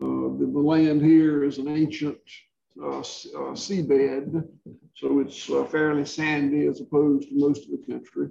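This man has a Southern US accent. He speaks at a fairly slow pace. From rural Georgia, US South. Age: 60s. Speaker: regenerative livestock farmer. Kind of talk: interview, conversational Q&A.

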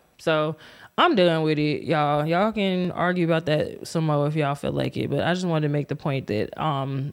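A woman speaks at a very deep, low pitch and a moderate pace with ordinary pitch variation. The recording is very clean with a silent background. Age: 40s. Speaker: YouTube commentary host. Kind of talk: casual reaction commentary. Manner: halting, many fillers.

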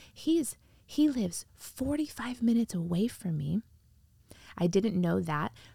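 A somewhat breathy woman with an American accent, a dark, mellow tone, very wide pitch swings, and long, frequent pauses. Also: medium pitch for a woman, fairly slow pace. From US Midwest, northwest Indiana. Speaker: pastor. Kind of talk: casual interview. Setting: converted camper podcast studio.

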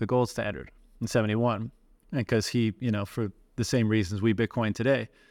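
Very clean and recorded over a silent background, this clip has a man with an ordinary speaking voice. He talks at a fairly quick pace and a medium pitch, with fairly even intonation. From Canada, Newfoundland. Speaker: bitcoin podcast host. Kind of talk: casual conversation.

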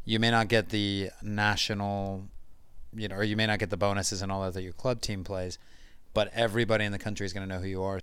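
In a very clean recording with a silent background, a man talks at a very fast pace with a fairly low pitch and monotone, flat intonation. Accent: American. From United States. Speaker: football fan guest. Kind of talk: casual chat.

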